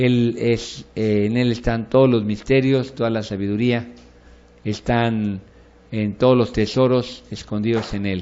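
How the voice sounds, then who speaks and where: A man speaks at a medium pitch in a flat monotone. Some room echo can be heard around his voice. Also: fairly slow pace. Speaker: pastor teaching a bible course. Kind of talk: lecture.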